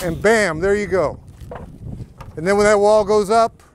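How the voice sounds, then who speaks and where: A man talks at a high pitch with fairly even intonation. The sound is dry with no echo, over light background noise. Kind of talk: casual vlog commentary. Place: street. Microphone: phone near.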